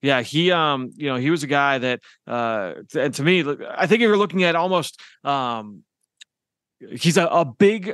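Against a quiet background, a man with a normal speaking voice talks at a fairly high pitch. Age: 30s. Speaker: team podcast host and film analyst. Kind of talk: casual football analysis chat.

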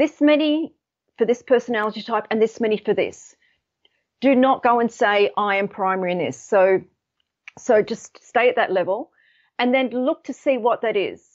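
A woman with an Australian accent, fairly high in pitch with ordinary variation, at a moderate pace broken by long, frequent pauses. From Australia, Sydney. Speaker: colour psychology expert and author. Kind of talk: interview.

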